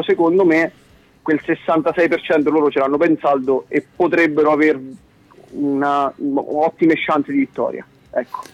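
A man's fairly high voice, very slow and fairly even in intonation, in a dry, close sound with no echo. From Italy, Marche (Apennines, Amandola). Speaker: musician, game co-creator. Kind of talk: casual interview. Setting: phone call. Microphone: dropped phone line.

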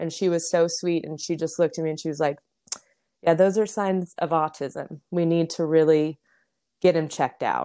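In a very clean recording with a silent background, a woman with an American accent speaks in a fairly low pitch with a dark, mellow tone and monotone, flat intonation. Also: moderate pace. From Las Vegas, Nevada. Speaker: military spouse and mother. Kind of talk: casual interview chat.

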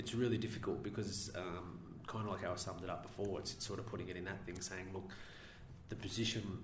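A man with an Australian accent speaks very fast in a very deep, low, monotone voice with flat intonation. Noticeable background noise and audible room echo fill the recording. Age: young. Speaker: local councillor. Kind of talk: interview. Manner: halting.

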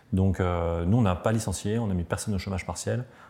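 A man's very deep, low voice with a dark, mellow tone at a very fast pace. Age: 40s. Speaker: tech company founder. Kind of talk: interview storytelling. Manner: hesitant, many fillers.

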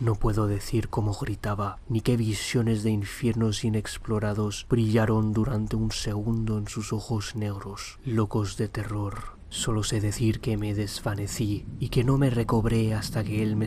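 A man's fairly low pitch at a fairly slow pace, with monotone, flat intonation. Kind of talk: audiobook horror reading (Lovecraft story, first-person narration). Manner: formal, literary, gravely expressive.

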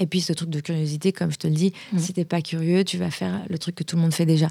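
This woman's fairly low voice has a dark, mellow tone, fairly even intonation, and a fairly quick pace. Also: very clean recording, silent background. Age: 30s. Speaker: podcast founder and entrepreneur. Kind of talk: interview. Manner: hesitant, many repetitions.

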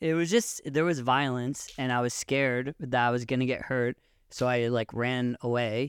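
Recorded very cleanly against a silent background, a man with a Pacific Northwest accent and fairly even intonation sounds dry and close with no echo. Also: medium pitch for a man, moderate pace. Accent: American, Pacific Northwest. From US Pacific Northwest, Seattle. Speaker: friend of the hosts, father living in Israel. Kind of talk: casual chat.

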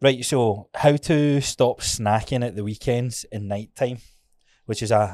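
A man with a Scottish accent speaks at a fairly slow pace, his medium pitch and dark, mellow tone carried by fairly even intonation. The recording is very clean, with a silent background. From Scotland. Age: 30s. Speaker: podcast host. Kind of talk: casual chat.

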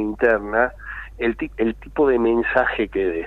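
This man has a Rioplatense accent. He talks at a very slow pace. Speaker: political analyst. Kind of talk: radio interview.

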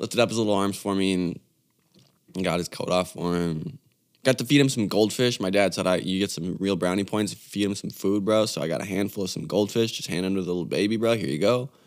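A man talks at a very fast pace in a fairly low voice. His pitch varies in an ordinary way. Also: very clean recording, silent background. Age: 20s. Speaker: podcast host and musician. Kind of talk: casual monologue. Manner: halting, many fillers and restarts.

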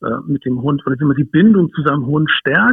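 At a moderate speed and fairly high pitch, a man's plain, everyday voice with ordinary pitch variation. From northern Germany, Hamburg. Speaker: dog behaviourist and wilderness educator. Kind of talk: interview. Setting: phone call.

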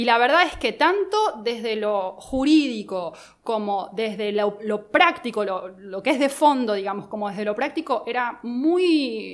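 On a very clean recording with a silent background, a woman uses an ordinary speaking voice, fairly high in pitch, speaking at a fairly slow pace with lively intonation and hardly any pauses. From Argentina, Buenos Aires. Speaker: lawyer. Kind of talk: casual interview. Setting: studio.

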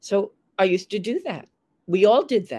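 A woman's dark, mellow voice in a New York accent, with dry, close sound and no echo. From US, Long Island, New York. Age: 70s. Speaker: former model and fashion producer, writer. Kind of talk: interview, casual chat.

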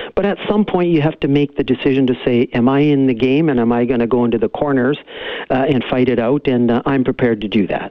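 Against noticeable background noise, a man with a Canadian accent talks at a very fast pace, his medium pitch showing ordinary variation and his loudness very even. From Canada, Cariboo region of BC. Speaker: lawyer and political candidate. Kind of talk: phone interview. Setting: phone call.

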